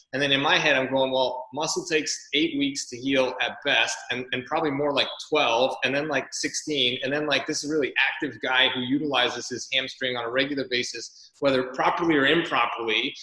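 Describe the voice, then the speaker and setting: Noticeable background noise sits behind this man. His fairly high voice stays monotone and flat. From Canada. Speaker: podcast host, athletic therapist. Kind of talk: interview chat. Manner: fast.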